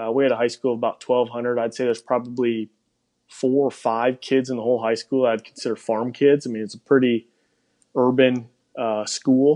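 A man with a Wisconsin accent, medium pitch and monotone, flat intonation, at a fairly quick pace. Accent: Wisconsin Upper Midwest. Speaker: pig industry professional. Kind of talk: casual interview chat.

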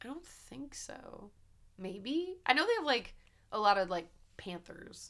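The speaker goes at a fairly slow pace with long, frequent pauses. Pitch swings very widely and loudness shifts in big swings. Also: woman, high pitch for a woman. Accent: American. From US, rural countryside. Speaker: podcast host. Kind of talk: casual chat; reading aloud. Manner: animated.

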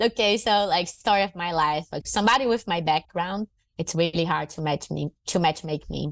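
With a Portuguese accent, a woman speaks at a fairly low pitch with ordinary pitch variation. The sound is dry and close, with no echo. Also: moderate pace. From northern Brazil, Fortaleza. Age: 30s. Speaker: MMA fighter and jiu-jitsu champion. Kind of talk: casual interview.

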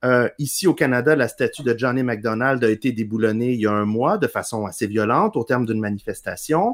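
In a normal speaking voice, the speaker talks at a fairly quick pace with lively intonation. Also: man. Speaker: historian and radio columnist. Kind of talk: interview.

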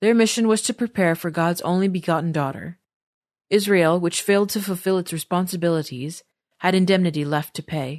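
Speaking at a fairly quick pace, a woman with an ordinary speaking voice and a fairly low pitch shows ordinary pitch variation, her sound dry and close with no echo over a quiet background. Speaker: podcast narrator. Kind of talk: reading aloud. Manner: formal.

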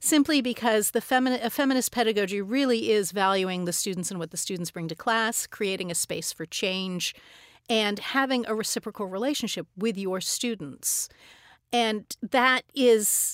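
In an ordinary speaking voice with an American accent, a woman talks at a moderate pace with a fairly high pitch and ordinary pitch variation, on a very clean recording with a silent background and a dry, close sound with no echo. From Arizona, US. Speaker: dance professor. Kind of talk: interview.

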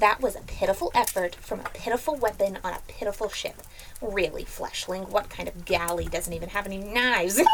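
A put-on character voice speaks at a fairly quick pace against clear background noise. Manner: haughty, condescending.

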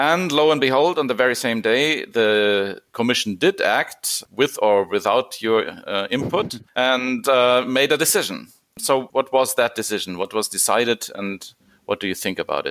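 Speaking in a German accent, a man uses lively intonation at a medium pitch and a moderate pace, captured on a very clean recording with a silent background. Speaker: podcast host on constitutional law. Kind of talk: podcast interview. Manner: formal.

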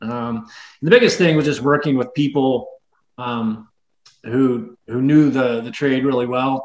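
Fairly even intonation in an unremarkable speaking voice. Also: man, medium pitch for a man. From US South, West Tennessee. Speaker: bike shop owner and mechanic. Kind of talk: casual interview.

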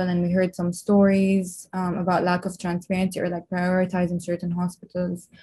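A woman with a dark, mellow tone and medium pitch talks at a fairly quick pace, sounding somewhat breathy. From Lebanon. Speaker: medical student. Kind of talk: interview.

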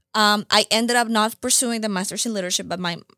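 Talking very fast, a woman with a Spanish accent has a bright, sharp tone and fairly even intonation, recorded dry and close with no echo in a very clean recording against a silent background. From Colombia (Bogota). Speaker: nonprofit founder. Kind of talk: interview.

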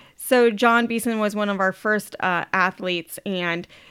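Speaking in an American accent, a woman uses a medium pitch. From Ohio. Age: 40s. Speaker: fitness trainer and supplement sales representative. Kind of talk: casual interview. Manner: upbeat.

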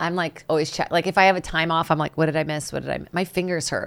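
A woman at a very fast pace, fairly low in pitch with fairly even intonation, on a very clean recording with a silent background. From Brazil, São Paulo. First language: Portuguese. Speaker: stand-up comedian. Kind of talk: casual chat.

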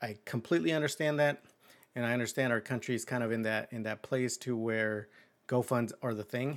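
With fairly even intonation and a fairly quick pace, the speaker has a plain, everyday voice. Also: man, medium pitch for a man, very clean recording, silent background. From Mexico, moved to US at age eight. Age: 30s. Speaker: podcast host. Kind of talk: casual monologue. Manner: relaxed, filler-heavy.

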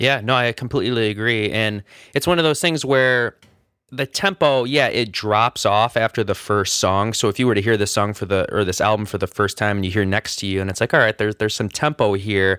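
A bright, sharp tone comes through in a very clean recording with a silent background and a dry, close sound with no echo. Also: man, fairly low pitch for a man, ordinary pitch variation, fairly quick pace. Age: 20s. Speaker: music podcast co-host. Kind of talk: casual chat.

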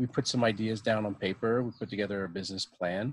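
A man with a Canadian accent speaks at a moderate pace in a fairly low pitch, with fairly even intonation and an unremarkable speaking voice, on a very clean recording with a silent background. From Ottawa, Ontario, Canada. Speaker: brewery co-owner. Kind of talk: casual chat.

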